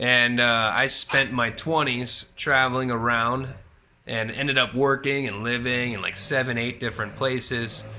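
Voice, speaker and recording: There is noticeable background noise as a man talks at medium pitch and a moderate pace, in a monotone with flat intonation. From US, Florida. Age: 30s. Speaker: English conversation tutor. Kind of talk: casual chat.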